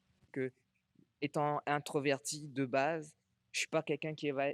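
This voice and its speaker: A man speaks at a fairly high pitch, recorded with a dry, close sound and no echo. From Réunion. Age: 30s. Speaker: Thai boxing athlete and coach. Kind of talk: interview. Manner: halting.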